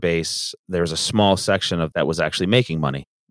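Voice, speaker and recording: A man with an Ontario accent speaks in a very deep, low pitch at a fairly quick pace, with ordinary pitch variation. The recording is very clean with a silent background and a dry, close sound with no echo. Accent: Canadian (Ontario). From Canada, Southern Ontario. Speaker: painting company owner. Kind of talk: interview.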